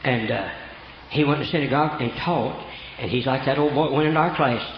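A man with a Southern US accent speaks at a fairly high pitch with ordinary pitch variation. Background noise is noticeable. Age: 70s. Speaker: preacher. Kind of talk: sermon. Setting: church. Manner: animated.

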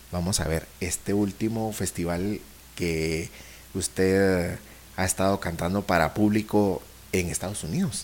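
This man has a very deep, low pitch and fairly even intonation. He talks at a fairly slow pace. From Guatemala. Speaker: podcast host. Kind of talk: interview.

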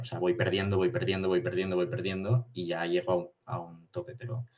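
A man with a very deep, low pitch. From Spain, Barcelona. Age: 20s. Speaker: day trader. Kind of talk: interview.

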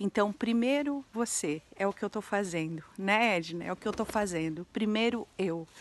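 A woman speaks at a moderate pace with hardly any pauses, her medium pitch varying in an ordinary way. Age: 40s. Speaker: entrepreneurship educator and social media creator. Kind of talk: vlog monologue. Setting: abandoned house.

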